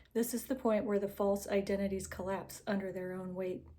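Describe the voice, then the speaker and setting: Soft-spoken and with a dark, mellow tone, a woman speaks at a medium pitch and a fairly quick pace. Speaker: narrator reading texts aloud. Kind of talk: reading aloud; casual intro. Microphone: recording without usual AirPods, unsure of audio.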